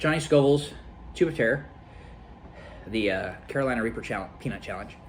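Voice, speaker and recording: A man at a fairly quick pace with lively intonation, long, frequent pauses and audible room echo. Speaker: gaming youtuber doing food challenge. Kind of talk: casual vlog talk to camera. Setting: at home with friends and family. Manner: halting, bumbling.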